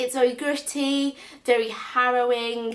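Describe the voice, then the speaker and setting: A woman speaks in a Northern English accent. Noticeable background noise is present. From North West England. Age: 20s. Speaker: book vlogger. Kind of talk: casual book review to camera. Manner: enthusiastic.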